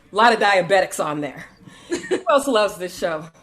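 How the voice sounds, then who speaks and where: Over noticeable background noise, a woman talks in an animated tone at a moderate pace. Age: middle-aged. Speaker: comedian. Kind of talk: stand-up.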